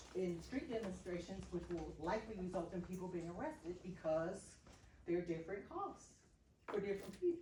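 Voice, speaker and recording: With an unremarkable speaking voice, a woman talks at a moderate pace and medium pitch, showing ordinary pitch variation. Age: 60s. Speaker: activist. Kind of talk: group discussion.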